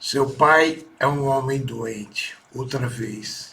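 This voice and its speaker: A man talks at a very slow pace, and audible room echo is present. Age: 60s. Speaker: son giving testimony about his mother. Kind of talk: personal testimony. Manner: halting.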